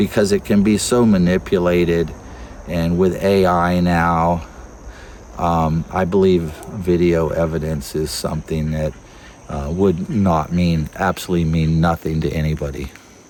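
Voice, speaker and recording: A man with an American accent and a very deep, low pitch, fairly even intonation and a fairly slow pace, with noticeable background noise. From South Florida, Everglades. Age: 60s. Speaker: wildlife researcher and Everglades local. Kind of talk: casual interview. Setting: outdoors.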